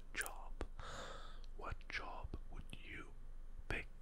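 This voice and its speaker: Soft-spoken, a man talks over loud background noise. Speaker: ASMR role-play host. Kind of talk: soft-spoken role-play. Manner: soft, hushed ASMR voice. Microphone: studio mic.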